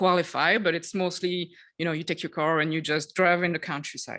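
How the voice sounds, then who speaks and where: This woman's pitch sits fairly low, and she speaks with a Quebec accent. Her pace is moderate over a quiet background. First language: French. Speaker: tourism development officer. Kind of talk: conference presentation. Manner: halting, many fillers.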